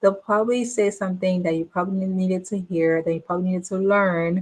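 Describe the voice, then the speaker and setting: A woman is talking. Her voice falls at a medium pitch. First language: not English, a home language. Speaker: business coach. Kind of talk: casual monologue to camera. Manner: repetitive, filler-heavy.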